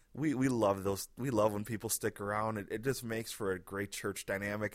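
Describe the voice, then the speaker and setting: A man with a normal speaking voice, fairly low in pitch, with ordinary pitch variation and a fairly quick pace, on a very clean recording with a silent background. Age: 30s. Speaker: pastor and podcast host. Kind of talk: casual solo podcast monologue. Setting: home living room. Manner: relaxed, conversational.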